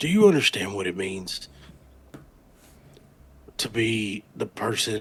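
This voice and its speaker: A man does a raspy, put-on character voice. It is fairly low in pitch and delivered at a fairly slow pace. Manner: dramatic, emotional, stammering.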